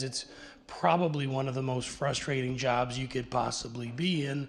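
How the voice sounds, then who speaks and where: A man talks at a fairly high pitch. His voice is somewhat breathy. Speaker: conference presenter on technology transfer. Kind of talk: conference presentation. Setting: panel session with audience and interpreters. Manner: halting, many repetitions.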